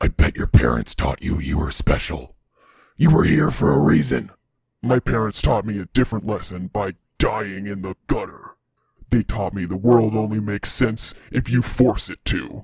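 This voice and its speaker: A man puts on a character voice, gravelly and fairly low in pitch. He speaks at a moderate pace. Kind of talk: dark, theatrical. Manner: intense.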